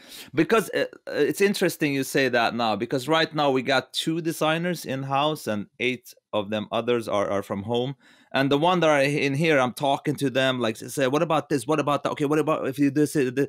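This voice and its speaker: A man with a non-native accent talks fairly quickly at a fairly high pitch, with ordinary pitch variation. The recording is very clean and dry, close with no echo, over a silent background. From Lebanon. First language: not English. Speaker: game director. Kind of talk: podcast interview. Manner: animated; halting, many repetitions.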